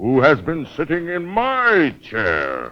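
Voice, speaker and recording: A man bellows in a put-on character voice. His pitch is fairly high, and he speaks at a very slow pace. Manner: roaring.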